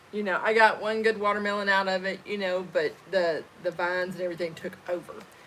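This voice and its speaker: Talking at a fairly quick pace over noticeable background noise, a woman with an Arkansas accent uses monotone, flat intonation. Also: medium pitch for a woman. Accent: Southern US (Arkansas). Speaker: homesteader, channel co-host. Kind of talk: casual chat on a livestream.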